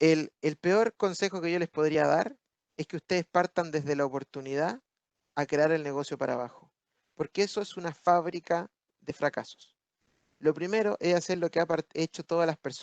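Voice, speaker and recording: Recorded dry and close with no echo, a man talks at a moderate pace, fairly high in pitch with ordinary pitch variation. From Chile. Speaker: business speaker at webinar. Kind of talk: webinar talk answering questions. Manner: animated.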